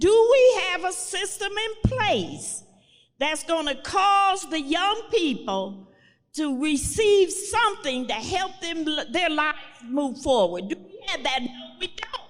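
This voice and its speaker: In audible room echo, a woman talks very slowly at an extremely high pitch, with very wide pitch swings and big swings in loudness. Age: 70s. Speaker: community leader. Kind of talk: live panel conversation. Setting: live event with audience. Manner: emphatic.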